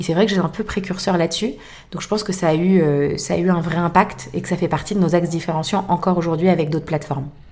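Amid noticeable background noise, a woman with a fairly low pitch talks at a very fast pace with fairly even intonation. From France, Boulogne. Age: 30s. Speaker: fashion resale entrepreneur. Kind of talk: interview.

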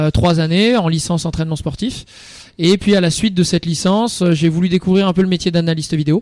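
A man speaks at a fairly quick pace in a high voice. His loudness stays very even over noticeable background noise. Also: fairly even intonation. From northern France, near Lille. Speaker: youth football coach. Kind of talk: radio interview. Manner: hesitant, with fillers.

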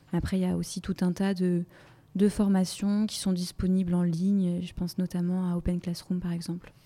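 A woman speaks at a medium pitch in a dark, mellow tone. Her intonation is monotone and flat. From Brittany, France. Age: 20s. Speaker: e-commerce project manager. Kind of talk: interview.

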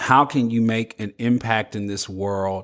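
Recorded very cleanly against a silent background, a man with a plain, everyday voice and medium pitch speaks at a fairly slow pace. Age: 50s. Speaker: podcast host. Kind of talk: solo podcast monologue.

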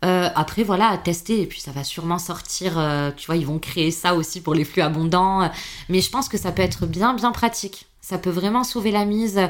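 A woman's voice sits at a medium pitch, moving at a moderate pace and rising and falling in an ordinary way. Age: 30s. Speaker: patient advocate. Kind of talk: casual chat. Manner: animated.

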